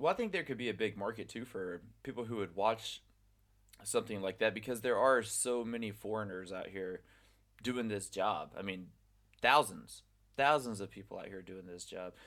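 With a normal speaking voice, a man talks at a moderate pace in a fairly low pitch, his pitch varying in an ordinary way while his loudness swings widely. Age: 30s. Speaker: podcast host, English teacher. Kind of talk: casual chat.

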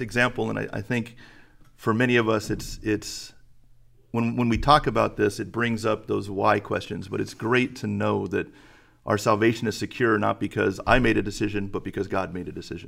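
On a very clean recording with a silent background, a man with a fairly low pitch and vocal fry speaks at a fairly quick pace with fairly even intonation. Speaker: church elder and high school Bible teacher. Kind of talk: podcast host moderating Q&A.

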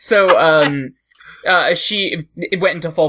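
On a very clean recording with a silent background, a man's bright, sharp voice holds fairly even intonation. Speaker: podcast host. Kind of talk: casual comedy chat.

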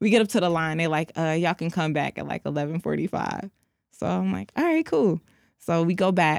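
With an American accent and an unremarkable speaking voice, a woman of fairly low pitch talks at a fairly quick pace with lively intonation on a very clean recording with a silent background. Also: dry, close sound with no echo. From Detroit. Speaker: co-host. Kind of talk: casual chat.

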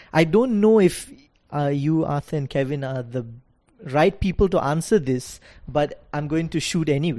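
With a dark, mellow tone, a man speaks at a fairly high pitch. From Singapore. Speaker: law student. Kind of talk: casual chat. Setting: recorded at a university. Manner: halting.

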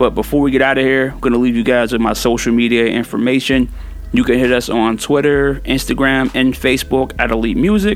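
A man with a medium pitch speaks at a very even loudness while music plays in the background. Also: ordinary pitch variation, fairly quick pace. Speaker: music podcast host and DJ. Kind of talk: podcast hosting with mix show and interview. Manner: casual, laughs often, conversational.

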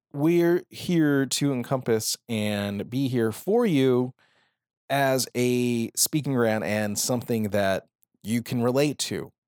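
With a Southwestern US accent, a man speaks very slowly at a medium pitch with ordinary pitch variation, the sound dry and close with no echo on a very clean recording with a silent background. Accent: general American, Southwest. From Phoenix, Arizona. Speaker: podcast host. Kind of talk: casual podcast monologue. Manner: filler-heavy, casual.

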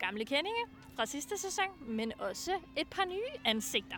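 A woman's raised, projected voice at a very slow pace. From Funen, Denmark. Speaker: student radio host and author. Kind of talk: casual chat. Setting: outdoors.

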